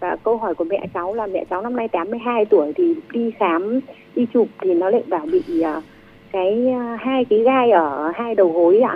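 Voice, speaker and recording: Noticeable background noise sits behind a woman with a fairly high pitch. She speaks at a fairly slow pace, and her pitch swings very widely. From northern Vietnam. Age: 40s. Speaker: caller. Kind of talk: call-in question. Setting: phone call.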